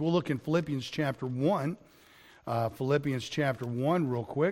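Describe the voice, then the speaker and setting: A man talks at a fairly quick pace in an unremarkable speaking voice. His pitch is fairly high, with ordinary pitch variation. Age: 50s. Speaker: pastor. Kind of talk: sermon. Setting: recorded online lesson.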